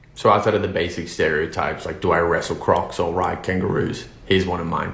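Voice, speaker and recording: A man with an Australian accent, very deep and low in pitch, very fast and monotone, with audible room echo and noticeable background noise. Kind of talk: anecdote.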